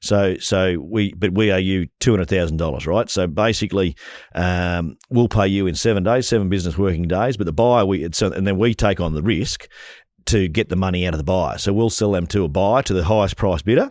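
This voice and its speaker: At a fairly quick pace, a man with an Australian accent speaks in a very deep, low pitch with ordinary pitch variation. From Australia, northern New South Wales. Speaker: rural real estate and livestock agent, auctioneer. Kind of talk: interview answer. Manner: casual, conversational.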